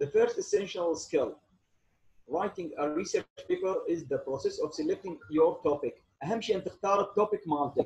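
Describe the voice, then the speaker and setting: A man talks at a moderate pace. He has an Iraqi accent. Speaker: engineering lecturer. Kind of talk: online lecture. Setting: video call.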